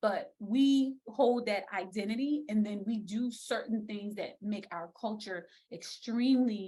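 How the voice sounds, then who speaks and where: Somewhat breathy and dark, mellow in tone, a woman with an American accent speaks at a medium pitch and a fairly slow pace with ordinary pitch variation. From South Carolina Lowcountry. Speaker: speech language pathologist, educator. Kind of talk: virtual lecture. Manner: casual, conversational.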